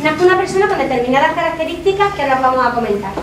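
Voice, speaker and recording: A woman talks with lively intonation, with audible room echo and noticeable background noise behind her. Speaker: psychologist. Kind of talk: talk to students. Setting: classroom talk without microphone. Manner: fast.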